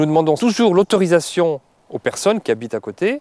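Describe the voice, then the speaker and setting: A man's high-pitched, dark and mellow voice with lively intonation, a fairly quick pace, and a dry, close sound with no echo. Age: 60s. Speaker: retired traveller. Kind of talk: interview.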